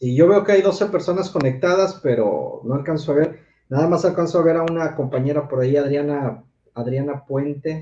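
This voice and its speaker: With a dark, mellow tone, a man speaks at a fairly high pitch and moderate pace, using ordinary pitch variation. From Mexico City. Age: 40s. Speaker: sex educator. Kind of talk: casual chat.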